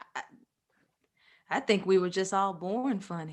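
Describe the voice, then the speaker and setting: Very slow and measured, a woman speaks with an American accent. Her pitch is medium, with ordinary variation. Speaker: podcast co-host. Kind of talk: casual chat.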